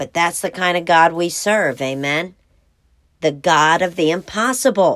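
This woman has an ordinary speaking voice, fairly low in pitch. She speaks at a fairly slow pace with ordinary pitch variation. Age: 40s. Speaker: women's devotional podcast host. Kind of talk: devotional teaching.

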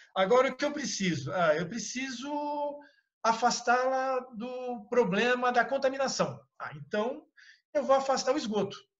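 At a fairly slow pace, a man talks with an extremely high pitch amid audible room echo. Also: ordinary pitch variation. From São Paulo, Brazil (Itaquera). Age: 40s. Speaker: professor and biologist. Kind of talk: online lecture. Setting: video call.

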